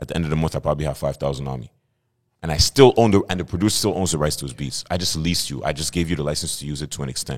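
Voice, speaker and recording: Very fast speech with vocal fry and ordinary pitch variation. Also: man. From Montreal, Quebec (NDG). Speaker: rapper and entrepreneur. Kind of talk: casual interview chat.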